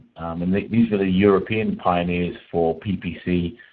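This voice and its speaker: Speaking with a British accent, a man uses a very deep, low pitch and fairly even intonation at a moderate pace. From UK. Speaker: PPC coach. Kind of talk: webinar lecture. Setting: webinar call. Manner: halting, many fillers.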